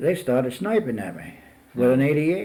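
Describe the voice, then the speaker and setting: A man with an American accent and very wide pitch swings, over noticeable background noise. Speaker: retired army engineer officer, war veteran. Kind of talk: oral history interview answer. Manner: reminiscing, hesitant.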